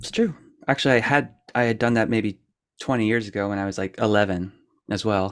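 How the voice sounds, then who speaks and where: A man with an American accent has an ordinary speaking voice. He talks fairly quickly at a fairly low pitch with fairly even intonation. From Pennsylvania, US. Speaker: musician. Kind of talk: casual chat. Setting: video call.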